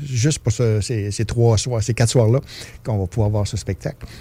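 A man with an unremarkable speaking voice, medium in pitch, at a moderate pace with fairly even intonation. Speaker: festival artistic director. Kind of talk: interview. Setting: studio.

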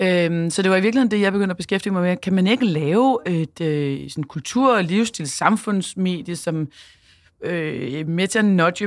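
A woman talks at a fairly quick pace with ordinary pitch variation in an ordinary speaking voice. The recording is very clean, with a silent background. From Denmark, Copenhagen. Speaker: entrepreneur and CEO, former DJ and radio host. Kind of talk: casual interview. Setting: studio.

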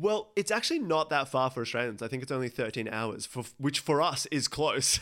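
A man's plain, everyday voice, fairly high in pitch, with lively intonation, a fairly quick pace and hardly any pauses. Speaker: podcast host. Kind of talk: casual interview.

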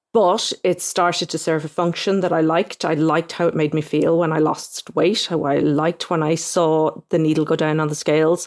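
In an Irish accent, a woman speaks at a moderate pace in a fairly low, monotone voice with very even loudness and hardly any pauses. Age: 40s. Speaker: newspaper correspondent. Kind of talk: interview.

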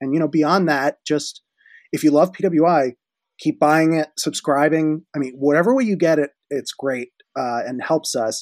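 Fairly high in pitch, a man's voice shows ordinary pitch variation. The recording is very clean with a silent background, dry and close with no echo. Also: moderate pace. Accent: Philadelphia. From Philadelphia area. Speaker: magazine editor. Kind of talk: casual interview.

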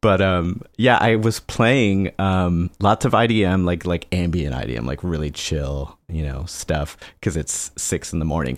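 A man with a very deep, low voice speaks fairly slowly with hardly any pauses. His intonation is lively and his tone relaxed. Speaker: electronic music producer. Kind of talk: casual interview chat. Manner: relaxed, laughs often.

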